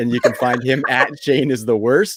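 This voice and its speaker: A man speaks in an ordinary speaking voice with a Canadian accent. His pitch is medium with ordinary variation, and the sound is dry and close with no echo. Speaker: fantasy football podcast host. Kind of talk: casual podcast chat. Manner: upbeat.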